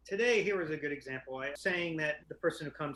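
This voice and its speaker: A man talks loudly at a very fast pace. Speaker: psychiatrist. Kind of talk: casual chat. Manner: loud and fast.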